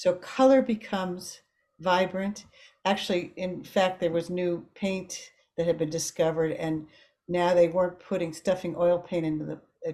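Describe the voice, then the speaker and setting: A dark, mellow tone carries fairly even intonation at a moderate pace. The recording is very clean and the background silent. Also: woman, fairly low pitch for a woman. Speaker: art workshop presenter. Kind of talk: lecture. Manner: halting.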